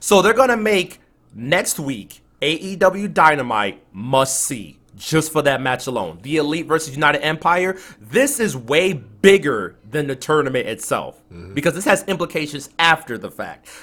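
A bright, sharp voice with vocal fry moves at a moderate pace with lively intonation and hardly any pauses. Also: man, fairly high pitch for a man. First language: not English. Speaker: podcast co-host. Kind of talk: casual chat. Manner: animated, excitable.

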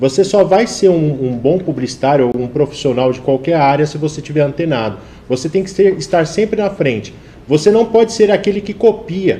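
At a fairly quick pace, a man speaks in an unremarkable speaking voice pitched fairly high. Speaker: advertising professional and TV presenter. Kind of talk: live talk show interview.

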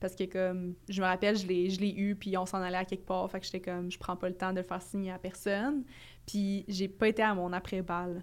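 A woman with a Quebec accent talks at a fairly quick pace and medium pitch, in a monotone, flat intonation. The recording is very clean, with a silent background. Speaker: podcast co-host. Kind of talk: casual chat.

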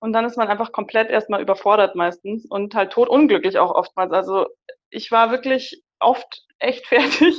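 A woman with a plain, everyday voice speaks at a moderate pace, fairly high in pitch and with lively intonation. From Munich, Bavaria. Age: 20s. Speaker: psychologist and career coach. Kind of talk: casual interview.

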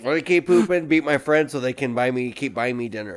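An ordinary speaking voice, fairly quick, ordinary in pitch variation. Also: man. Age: 30s. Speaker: podcast co-host. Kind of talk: casual chat.

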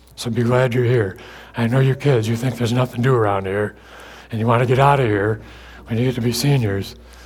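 In an American accent, a man with a medium pitch speaks very fast, somewhat breathy, with monotone, flat intonation. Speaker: guest preacher. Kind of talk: sermon. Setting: church with congregation.

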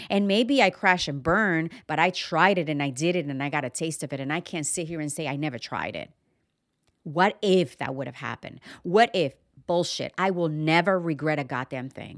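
Speaking at a moderate pace with ordinary pitch variation, a woman with a very deep, low voice sounds animated on a very clean recording with a silent background. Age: 40s. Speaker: podcast host and wellness coach. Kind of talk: motivational monologue.

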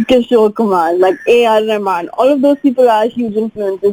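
A woman's fairly high voice with ordinary pitch variation and a fairly slow pace, over background music. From India (Mumbai). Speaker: singer-songwriter. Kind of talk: casual interview chat.

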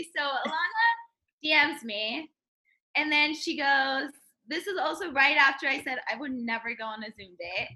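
A woman's high, bright, sharp voice, raised and projected, with lively intonation and big swings in loudness. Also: moderate pace. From Turkey. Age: 20s. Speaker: social media worker. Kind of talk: casual chat. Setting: video call.

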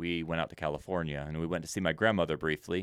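A man with an American accent rattles along at a very fast pace in a very deep, low voice with monotone, flat intonation. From Senegal, West Africa (American missionary family). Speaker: missionary and Bible teacher. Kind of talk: interview conversation.

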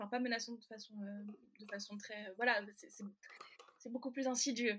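This woman's voice is high-pitched. She talks fairly slowly, and her pitch varies in an ordinary way. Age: 20s. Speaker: novelist and French teacher. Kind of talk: casual interview chat. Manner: hesitant, many fillers.

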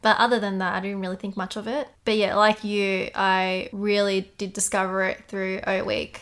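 A woman with an Australian accent speaks at a moderate pace and medium pitch. Her intonation is monotone and flat, with hardly any pauses. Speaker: podcast co-host. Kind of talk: casual chat.

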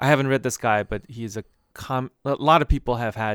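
A man with an American accent and a normal speaking voice, medium pitch and fairly quick pace, in a very clean recording with a silent background and a dry, close sound with no echo. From Boston area, US. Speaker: podcast host, IT worker. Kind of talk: casual chat.

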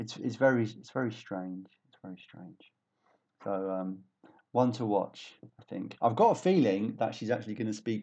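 Loudness swings widely in this dark, mellow voice. Pitch varies in an ordinary way, and the pace is moderate. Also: man, fairly low pitch for a man. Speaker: teacher and podcast host. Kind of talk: casual discussion.

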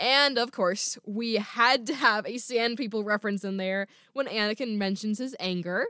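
Ordinary pitch variation in plain reading aloud

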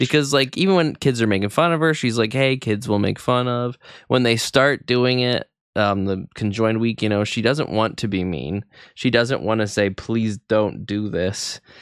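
A man speaks in a plain, everyday voice at a medium pitch. He keeps a moderate pace with ordinary pitch variation. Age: 30s. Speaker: podcast co-host. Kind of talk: casual chat.

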